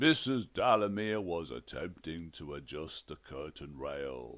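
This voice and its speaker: Booming in a put-on character voice, a man speaks at a fairly slow pace. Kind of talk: comic fantasy narration. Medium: read story. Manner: formal, bureaucratic, dry.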